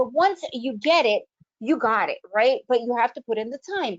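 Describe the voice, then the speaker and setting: A woman speaks at a moderate pace in an American accent, her pitch high with ordinary variation. Her tone is animated. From United States. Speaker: trading educator. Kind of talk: webinar presentation. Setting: online video event.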